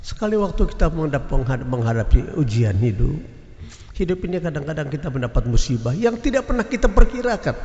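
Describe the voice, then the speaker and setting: Vocal fry runs through speech delivered at a very fast pace with very wide pitch swings. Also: man, fairly high pitch for a man. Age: 80s+. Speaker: preacher. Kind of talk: sermon. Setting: mosque, Friday prayer congregation.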